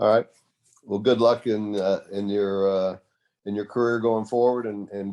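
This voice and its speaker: Over a quiet background, a man with a Texan accent talks at a moderate pace in a fairly low, dark, mellow voice with monotone, flat intonation. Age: 70s. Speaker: tennis supporter. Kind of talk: casual chat.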